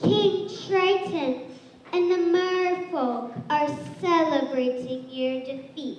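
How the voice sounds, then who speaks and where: Spoken at a very slow pace, the put-on character voice sits at a high pitch with a clear echo. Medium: stage play. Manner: sly, servile.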